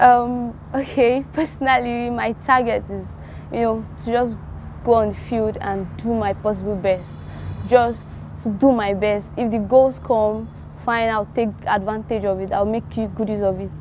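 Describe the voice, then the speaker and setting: With light background noise and a dry sound with no echo, a woman speaks at a moderate pace. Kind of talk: interview answer. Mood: cheerful, smiling. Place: garden. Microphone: lapel.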